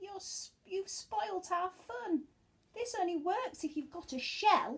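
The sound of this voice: A woman puts on a character voice at an extremely high pitch. She talks at a slow pace with lively intonation.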